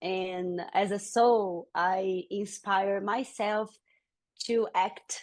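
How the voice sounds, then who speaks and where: A woman with a medium pitch speaks against a quiet background. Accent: Brazilian Portuguese. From Brazil. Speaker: yoga teacher. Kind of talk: interview.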